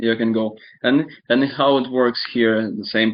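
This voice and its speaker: A man of medium pitch at a moderate pace, with fairly even intonation. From Ukraine (born in Donetsk region). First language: Russian. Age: 20s. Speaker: interviewee describing war experience. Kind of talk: casual chat. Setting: online video chat.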